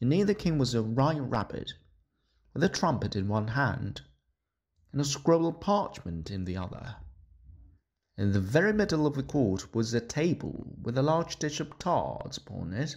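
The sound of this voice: Medium in pitch, a man's voice carries a slightly mellow tone with a slightly husky edge. His pitch makes big swings. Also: moderate pace.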